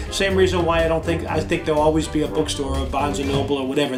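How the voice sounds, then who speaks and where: Music plays in the background. The speech comes at a very fast pace. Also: man. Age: 60s. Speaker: comic book store owner. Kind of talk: interview. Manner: hesitant, many fillers.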